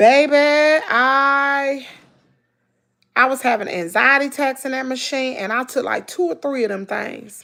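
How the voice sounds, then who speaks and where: A woman uses a raised, projected voice at a high pitch, with a bright, sharp tone and an animated delivery. She speaks at a fairly slow pace with ordinary pitch variation and long, frequent pauses, on a very clean recording with a silent background. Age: 40s. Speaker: lifestyle vlogger. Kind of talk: live stream chat.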